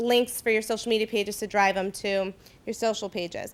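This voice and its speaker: This is a woman's voice. Her pitch is fairly high. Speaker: marketing presenter. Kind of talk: workshop presentation. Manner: fast.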